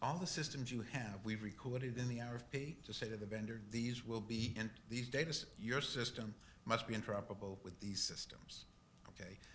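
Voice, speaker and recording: With a Boston accent, a man speaks at a fairly quick pace in a medium pitch with ordinary pitch variation, and audible room echo is present. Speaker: technology consultant. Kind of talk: board meeting Q&A.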